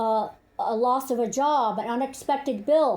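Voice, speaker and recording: The woman's voice sits high in pitch and varies in an ordinary way. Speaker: intuitive reader, spiritual channeler. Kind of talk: spiritual channeled message monologue. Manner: halting with fillers and restarts.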